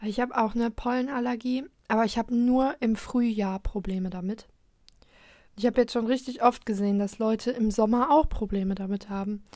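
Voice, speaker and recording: This woman has a dark, mellow tone and a fairly high pitch. She talks at a fairly quick pace with fairly even intonation. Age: young. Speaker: podcast host. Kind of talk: casual solo chat. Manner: halting, many fillers.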